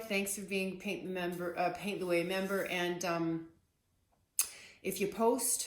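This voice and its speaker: Soft-spoken, a woman talks at a medium pitch with audible room echo. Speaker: artist teaching painting. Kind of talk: casual tutorial. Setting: home art studio. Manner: soft-spoken, keeping voice down; hesitant, many fillers.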